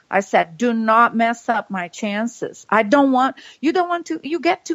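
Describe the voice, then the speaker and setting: A woman with a Brazilian Portuguese accent, high-pitched with lively intonation at a moderate pace, in a dry, close sound with no echo and a quiet background. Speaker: political podcast co-host. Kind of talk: casual political commentary. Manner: animated.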